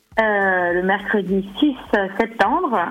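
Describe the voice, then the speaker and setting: Noticeable background noise sits behind a voice whose pitch moves in an ordinary way. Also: woman. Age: 40s. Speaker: sophrologist and cooking blogger. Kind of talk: radio interview. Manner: hesitant, many fillers.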